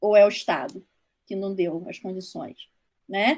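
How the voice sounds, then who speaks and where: Speaking at a moderate pace, a woman talks with a Rio de Janeiro accent. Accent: Rio de Janeiro (carioca). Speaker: social worker speaking on foster care. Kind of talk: online talk to trainees. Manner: halting, with many false starts.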